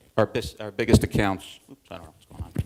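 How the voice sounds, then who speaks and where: A man with an upstate New York accent speaks very fast. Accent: upstate New York, Midwestern-like. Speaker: corporate learning manager. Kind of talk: conference presentation. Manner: hesitant, many fillers.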